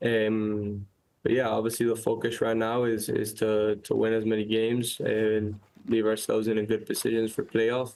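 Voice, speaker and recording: A man speaks in a Miami accent at medium pitch and moderate pace. His delivery is monotone and flat, with very even loudness. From Miami, Florida. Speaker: professional soccer player. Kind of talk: casual chat. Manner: halting, many repetitions.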